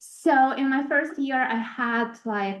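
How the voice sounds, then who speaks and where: A woman's voice with a Ukrainian accent. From Ukraine. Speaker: international research specialist. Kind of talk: presentation. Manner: halting.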